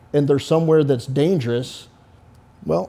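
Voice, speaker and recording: A man with an American accent and a fairly high pitch speaks in a dark, mellow tone with ordinary pitch variation. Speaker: military veteran and security consultant. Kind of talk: interview. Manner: loud, lecturing.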